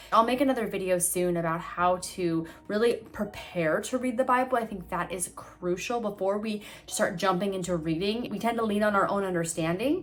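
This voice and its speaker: Ordinary pitch variation and hardly any pauses, with noticeable background noise. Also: woman, medium pitch for a woman. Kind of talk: devotional talk to camera. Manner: fast; earnest.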